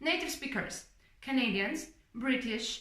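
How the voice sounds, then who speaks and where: Heard with audible room echo, a woman with a high pitch and a bright, sharp tone speaks at a very slow pace with ordinary pitch variation. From Ukraine. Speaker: English teacher and vlogger. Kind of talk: casual vlog talk. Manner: hesitant with fillers (um, uh).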